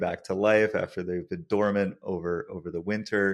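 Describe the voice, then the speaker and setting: A man with an American accent and a normal speaking voice talks at a fairly slow pace and fairly low pitch with ordinary pitch variation, on a very clean recording with a silent background. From United States. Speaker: podcast host, studio co-founder. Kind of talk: podcast interview.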